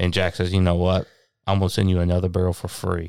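A man with a Tennessee accent speaks in a very deep, low pitch, recorded very cleanly with a silent background and a dry, close sound with no echo. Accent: US Southern (Tennessee). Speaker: master distiller. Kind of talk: casual interview.

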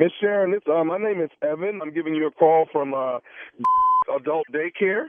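A man speaks in a plain, everyday voice. His pace is moderate and his pitch varies in an ordinary way. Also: fairly high pitch for a man. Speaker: radio prank caller. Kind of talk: prank phone call. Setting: phone call.

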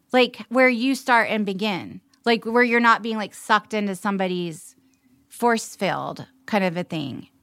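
A woman with a plain, everyday voice speaks at a fairly slow pace with a fairly high pitch. Her pitch variation is ordinary, and the recording is very clean with a silent background. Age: 40s. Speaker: actor. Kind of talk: casual chat.

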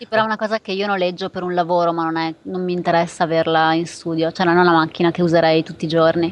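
The speech races at a very fast pace with hardly any pauses. Its intonation is monotone and flat. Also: woman, fairly low pitch for a woman, big swings in loudness. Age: 30s. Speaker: photographer. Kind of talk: casual chat.

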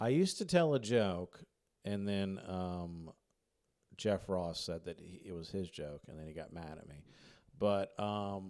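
A man with an American accent talks at a fairly low pitch with ordinary pitch variation. It is a normal speaking voice on a very clean recording with a silent background. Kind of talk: casual interview chat. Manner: joking, self-deprecating.

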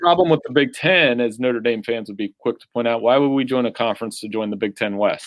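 Big swings in loudness run through this man's medium-pitched speech, delivered at a fairly quick pace with ordinary pitch variation and hardly any pauses. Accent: American. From Central Ohio, US. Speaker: sports writer. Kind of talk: casual chat.

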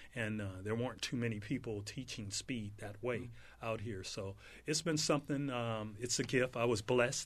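Against a quiet background, a man with an ordinary speaking voice talks at a moderate pace and medium pitch with ordinary pitch variation. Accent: American. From South Central Los Angeles. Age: 60s. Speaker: former pro football player and speed trainer. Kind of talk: casual interview.

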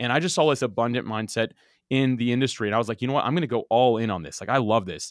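Very fast male speech at medium pitch, with ordinary pitch variation, on a very clean recording with a silent background. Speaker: podcast host and software founder. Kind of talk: interview chat. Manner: fast talker.

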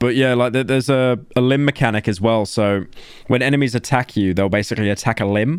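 A man talks with a Birmingham accent at a very even loudness. The recording is very clean, with a silent background. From England, Birmingham. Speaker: podcast co-host. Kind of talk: casual chat.

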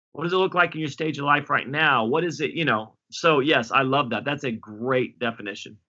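Talking at a fairly quick pace with hardly any pauses, this man has a fairly high pitch and ordinary pitch variation. His is an unremarkable speaking voice. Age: 40s. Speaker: pastor. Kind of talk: interview.

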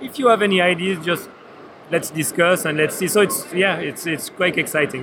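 A high-pitched man speaks fairly quickly, with ordinary pitch variation. There is noticeable background noise. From Switzerland. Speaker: board game designer. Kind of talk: trade fair interview. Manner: halting.

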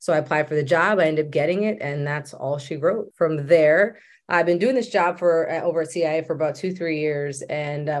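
A woman with a very deep, low voice speaks at a fairly quick pace with ordinary pitch variation against a quiet background. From Maryland. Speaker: government diversity official. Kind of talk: interview.

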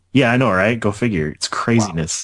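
The pace is moderate. It is an unremarkable speaking voice. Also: man. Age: 20s. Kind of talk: casual chat.

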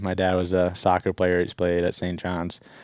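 A man speaks with an Upper Midwest accent. His voice is very deep and low. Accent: Upper Midwest (Minnesota). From Minnesota, Stillwater. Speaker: college hockey player. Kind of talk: casual interview. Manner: hesitant, many fillers.

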